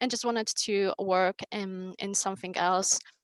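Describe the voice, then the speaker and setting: A woman with a Polish accent at a fairly slow pace, in a dry, close sound with no echo. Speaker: onboarding manager. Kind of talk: conference panel talk. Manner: halting, many fillers.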